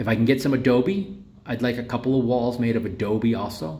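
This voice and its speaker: A man talks at a fairly slow pace with a medium pitch and a dark, mellow tone, and room echo is audible. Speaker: tiny home vlogger. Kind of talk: casual vlog walkthrough. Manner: loud at times; hesitant with fillers.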